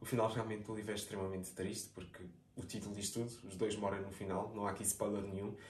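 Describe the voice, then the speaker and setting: Speaking very fast in a fairly low, somewhat breathy voice, a man keeps a monotone, flat intonation while audible room echo fills the recording. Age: 20s. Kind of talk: casual chat.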